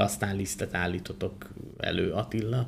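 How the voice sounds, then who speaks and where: A man with an unremarkable speaking voice talks fairly slowly at a fairly low pitch. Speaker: agricultural podcast host. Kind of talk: podcast interview conversation. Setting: studio, guests seated beside him.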